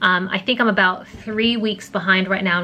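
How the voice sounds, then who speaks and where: Over noticeable background noise, a woman speaks at a moderate pace and medium pitch with monotone, flat intonation. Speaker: vlogger. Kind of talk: casual vlog monologue. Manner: hesitant, many fillers.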